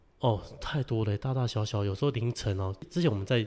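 A man speaks at a fairly quick pace with a medium pitch. The recording is very clean, with a silent background. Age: 30s. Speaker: packaging business owner. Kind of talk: interview.

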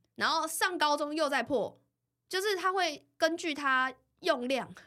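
On a very clean recording with a silent background, a woman talks at a moderate pace in a Taiwanese accent. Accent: Taiwanese Mandarin. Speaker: podcast co-host. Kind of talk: casual chat.

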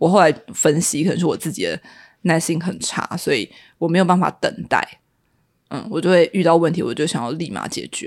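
The recording is very clean, with a silent background. A woman with an unremarkable speaking voice talks fairly quickly at a fairly low pitch, with ordinary pitch variation. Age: 30s. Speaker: media office worker. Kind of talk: casual chat.

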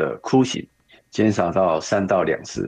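Very slowly and with vocal fry, a man speaks with ordinary pitch variation. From Kaohsiung, Taiwan. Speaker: program student sharing experience. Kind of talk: testimony.

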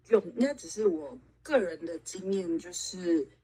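Very slowly, a woman speaks in a dark, mellow tone with very wide pitch swings. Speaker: traveler and working holiday veteran. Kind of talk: casual interview.

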